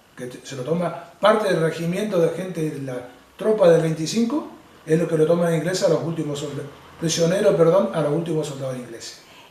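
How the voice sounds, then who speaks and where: A man's high-pitched, fairly quick voice, with noticeable background noise and audible room echo. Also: ordinary pitch variation. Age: 60s. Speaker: war veteran. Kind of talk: testimony. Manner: halting.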